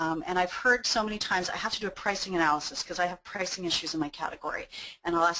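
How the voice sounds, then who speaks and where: Very fast and bright, a woman's sharp-toned, medium-pitched voice runs on with ordinary pitch variation. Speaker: webinar presenter. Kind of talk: webinar presentation. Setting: online webinar. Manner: hesitant, many fillers.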